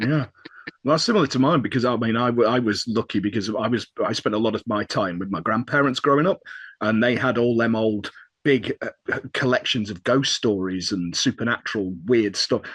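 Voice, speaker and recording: Speaking at a fairly quick pace with a northern English accent, a man with a medium-pitched voice and ordinary pitch variation sounds dry and close with no echo against a quiet background. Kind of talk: casual chat.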